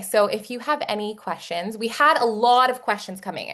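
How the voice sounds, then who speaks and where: A woman with an American accent speaks fairly quickly at a fairly high pitch, using ordinary pitch variation. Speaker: webinar host and company marketer. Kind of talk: live webinar hosting, casual; company promo pitch. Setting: online webinar video call. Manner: animated, upbeat.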